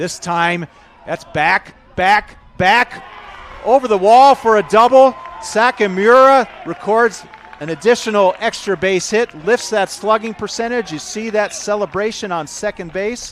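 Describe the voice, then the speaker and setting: There is noticeable background noise as a man talks at a fairly slow pace. His pitch is high for a man, with ordinary variation. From US Midwest, Chicago. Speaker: baseball commentator. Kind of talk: live commentary. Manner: animated.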